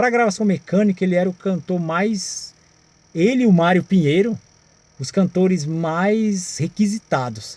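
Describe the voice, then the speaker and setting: This man's voice sits high, and he talks at a fairly slow pace with ordinary pitch variation. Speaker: singer and music channel host. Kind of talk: casual video talk about music history.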